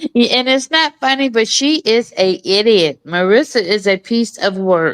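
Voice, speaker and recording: Sounding dry and close with no echo, a woman speaks at a moderate pace in an animated tone, her fairly high pitch carrying lively intonation at very even loudness. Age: 60s. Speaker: commentary show co-host. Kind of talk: casual chat.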